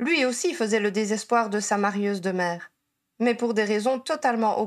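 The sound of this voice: Fairly even intonation marks an unforced reading voice. The background is quiet.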